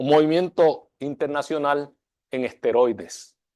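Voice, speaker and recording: A man with a dark, mellow tone speaks at a fairly slow pace against a quiet background. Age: 60s. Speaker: architecture school dean. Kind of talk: lecture. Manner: formal.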